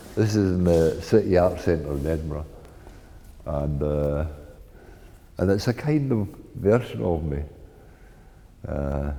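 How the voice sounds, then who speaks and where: A man with a Scottish accent and a very deep, low pitch, at a fairly slow pace with lively intonation and long, frequent pauses. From Paisley, Scotland. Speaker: artist. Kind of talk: interview answer.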